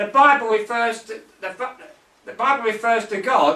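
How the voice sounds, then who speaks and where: Over noticeable background noise, a man talks in a raised, projected voice. His pitch is high, and his pace is fairly slow. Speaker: evangelist and Bible teacher. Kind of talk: Bible teaching.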